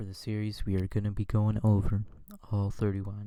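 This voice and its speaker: A quiet, dark, mellow tone in a very clean recording with a silent background. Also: man. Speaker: sports YouTuber. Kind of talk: casual commentary on screen. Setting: at home.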